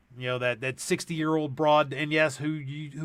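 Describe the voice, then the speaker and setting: Speaking at a fairly quick pace, this man has a fairly high pitch, a bright, sharp tone and fairly even intonation. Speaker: gun channel co-host, works at juvenile facility. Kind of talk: casual chat.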